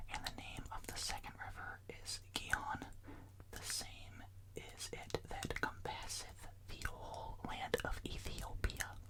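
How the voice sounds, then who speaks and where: A man whispering over noticeable background noise. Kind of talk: Bible reading, ASMR. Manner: whispered.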